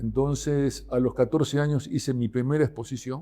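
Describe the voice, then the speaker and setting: At a fairly slow pace, a man speaks in a fairly high pitch with a dark, mellow tone. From Argentina, Buenos Aires countryside. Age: 80s+. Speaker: artist, painter. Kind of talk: podcast interview, personal story. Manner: hesitant, many fillers and repetitions.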